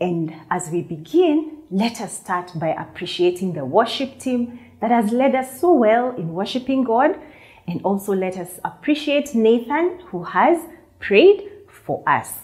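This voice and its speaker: A woman talks at a fairly slow pace. Her pitch swings very widely. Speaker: children's church teacher. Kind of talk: lesson to children. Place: studio. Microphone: lapel.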